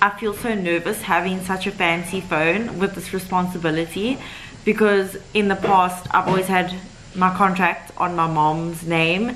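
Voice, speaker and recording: A woman at a fairly slow pace, fairly even in intonation, with light background noise. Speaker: vlogger. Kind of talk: casual vlog chat. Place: home room. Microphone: phone near.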